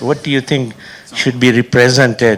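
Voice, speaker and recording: A man's voice over noticeable background noise. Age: 70s. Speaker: audience member, film festival founder. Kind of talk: audience question.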